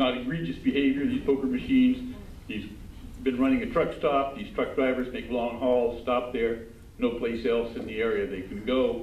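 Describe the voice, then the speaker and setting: Noticeable background noise and audible room echo accompany a man talking at a moderate pace. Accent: American. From Southern California. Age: old. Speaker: defense attorney. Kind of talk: public comment at city council meeting. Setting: city council chamber. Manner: halting, many fillers.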